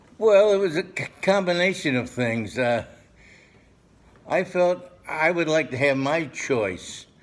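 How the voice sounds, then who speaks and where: Pausing long and often, a man speaks at a fairly slow pace with very wide pitch swings. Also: fairly high pitch for a man. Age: 90s. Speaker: war veteran. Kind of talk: interview. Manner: halting.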